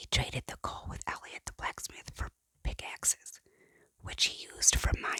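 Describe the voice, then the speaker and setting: Whispering at a moderate pace. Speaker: parent. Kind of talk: ASMR book reading. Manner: whispered.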